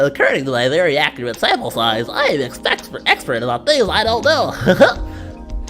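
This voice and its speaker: A put-on character voice at a moderate pace over clear music in the background. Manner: pedantic, self-important.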